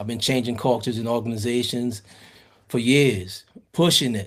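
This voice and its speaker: In a normal speaking voice, a man talks at a moderate pace. His intonation stays fairly even. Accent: American. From US South, New Orleans, Louisiana. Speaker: podcast guest. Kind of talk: casual interview chat.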